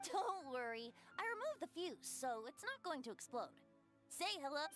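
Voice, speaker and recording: A put-on character voice with a playful tone moves at a moderate pace over clear music in the background. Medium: video game. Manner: light, lilting, playful.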